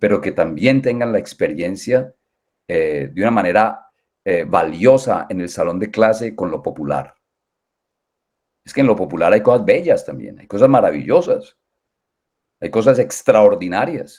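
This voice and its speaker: Speaking in a Valle del Cauca accent, a man goes at a fairly slow pace with long, frequent pauses and big swings in loudness. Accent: Colombian Valle (valluno) accent, kept. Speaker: music education professor. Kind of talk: interview. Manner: halting, many fillers.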